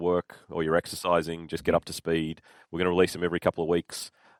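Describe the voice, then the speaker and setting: Recorded dry and close with no echo and a silent background in a very clean recording, a man with an Australian accent speaks very fast in a very deep, low voice. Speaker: solution architect, podcast co-host. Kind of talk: casual podcast chat.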